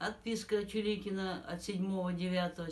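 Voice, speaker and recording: A woman's fairly low-pitched voice amid noticeable background noise. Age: 70s. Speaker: pensioner making a public appeal. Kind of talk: formal appeal, reading a complaint. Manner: formal.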